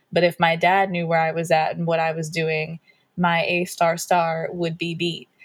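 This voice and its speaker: A woman's somewhat breathy, fairly low voice in an American accent, monotone with flat intonation. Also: moderate pace. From Pittsburgh area, Pennsylvania. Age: 20s. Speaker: R&B singer. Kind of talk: interview.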